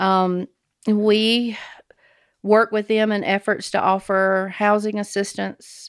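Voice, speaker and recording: A woman speaks very slowly in a Southern US accent, her intonation monotone and flat. The sound is dry and close with no echo, on a very clean recording with a silent background. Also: medium pitch for a woman. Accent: Southern US (Georgia). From Georgia, US South. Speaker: nonprofit director and army veteran. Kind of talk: interview. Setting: studio.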